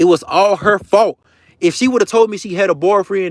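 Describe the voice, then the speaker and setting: A man's animated voice at a fairly quick pace, recorded dry and close with no echo. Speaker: social media creator. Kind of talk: livestream rant. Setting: live stream. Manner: fast.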